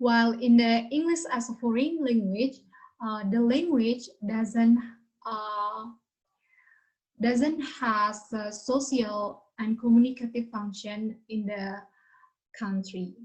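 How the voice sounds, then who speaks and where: With a Balinese accent, a woman talks at a very slow pace and a fairly high pitch. Her pitch variation is ordinary, and long pauses come often. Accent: Indonesian (Balinese) accented English. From Bali, Indonesia. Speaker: university student presenter. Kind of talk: class presentation. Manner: halting.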